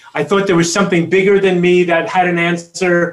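His pitch sits high for a man. He has an American accent. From Queens, New York. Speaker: chiropractor and family coach. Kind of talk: interview.

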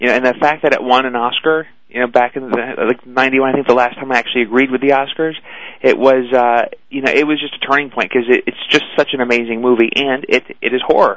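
Speaking with an American accent, a man races along at a very fast pace in a monotone, flat intonation. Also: medium pitch for a man. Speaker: talent agent. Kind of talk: casual interview chat. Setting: phone call.

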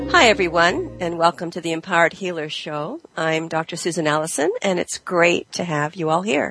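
Over music in the background, a woman with a fairly low pitch talks at a fairly quick pace with hardly any pauses and fairly even intonation, in a dry, close sound with no echo. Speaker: healing coach and show host. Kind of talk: podcast monologue.

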